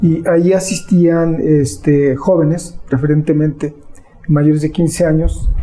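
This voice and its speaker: Music plays in the background as the voice moves at a very slow pace. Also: man. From Mexico, Sierra Nororiental de Puebla. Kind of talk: interview. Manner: hesitant, many fillers.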